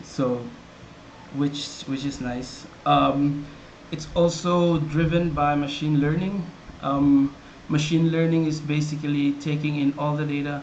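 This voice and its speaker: With a Visayan Filipino accent, a man speaks fairly slowly at a fairly high pitch, flat and monotone, with long, frequent pauses amid noticeable background noise and audible room echo. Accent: Filipino (Cebuano) English. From Philippines, Cebuano-speaking region (Visayas/Mindanao). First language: Cebuano. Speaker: software developer presenting his product. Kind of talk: product tutorial. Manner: casual, with many fillers and repetitions.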